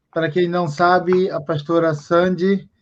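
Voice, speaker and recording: A man talks at a fairly slow pace. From Japan, Brazilian family. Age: 30s. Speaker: live stream host. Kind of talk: casual interview. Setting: online live stream.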